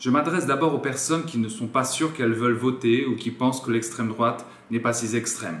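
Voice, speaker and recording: A man with a medium-pitched voice and ordinary pitch variation speaks fairly quickly, with noticeable noise in the background. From France. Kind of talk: political appeal to camera.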